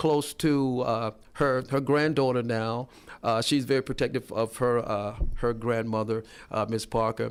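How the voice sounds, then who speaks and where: A man talks at a moderate pace, his medium pitch carried by fairly even intonation. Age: 60s. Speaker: political candidate. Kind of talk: radio interview. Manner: halting, many fillers.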